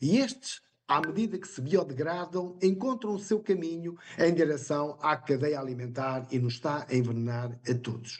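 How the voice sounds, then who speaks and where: A man with a European Portuguese accent, fairly high in pitch, with lively intonation. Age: 60s. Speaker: independent business partner presenter. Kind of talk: sales pitch.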